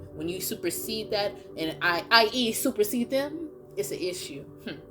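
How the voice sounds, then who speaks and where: A woman speaks in an animated tone at a fairly high pitch, her voice swinging very widely up and down, with music playing in the background. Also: moderate pace. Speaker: tarot card reader. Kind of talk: collective tarot reading.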